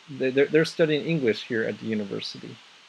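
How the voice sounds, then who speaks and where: There is noticeable background noise as a man speaks in an American accent. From US Southwest, Navajo reservation in northern Arizona. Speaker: English and music teacher. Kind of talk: casual group chat. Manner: halting, many repetitions and fillers.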